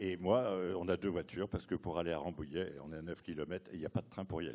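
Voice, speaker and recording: Very deep and low in pitch with a dark, mellow tone, a man talks at a very fast pace. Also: ordinary pitch variation. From Paris. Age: 60s. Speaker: audience member asking a question. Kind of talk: audience question. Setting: conference with audience.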